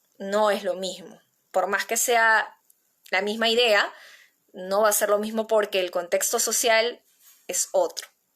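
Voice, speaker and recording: Speaking with a Peruvian accent, a woman with a fairly high voice talks at a fairly slow pace, with monotone, flat intonation and long, frequent pauses. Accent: Peruvian Spanish (Lima). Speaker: playwriting teacher. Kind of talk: online workshop lecture.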